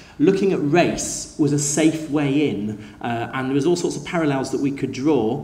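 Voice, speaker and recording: A man's medium-pitched voice with ordinary pitch variation, audible room echo and noticeable background noise. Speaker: school teacher. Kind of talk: conference talk. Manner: fast; hesitant, many fillers.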